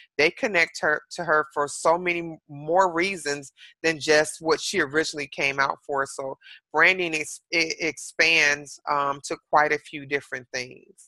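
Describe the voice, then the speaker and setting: A woman with an American accent, very deep and low in pitch, her bright, sharp tone at a fairly slow pace in a dry, close sound with no echo. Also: fairly even intonation. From Detroit, Michigan. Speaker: celebrity hairstylist and salon owner. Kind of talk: interview.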